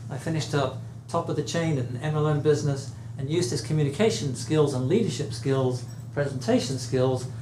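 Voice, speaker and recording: Speaking at a fairly quick pace with an English accent, this voice has ordinary pitch variation, with noticeable background noise and audible room echo. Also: man, medium pitch for a man. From England. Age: 70s. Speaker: speaking coach. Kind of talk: speech to audience. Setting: room with live audience.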